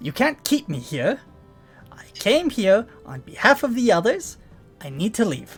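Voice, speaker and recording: A man speaks in a put-on character voice pitched high for a man, his pitch swinging very widely at a moderate pace over faint background music. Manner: insistent, raised voice.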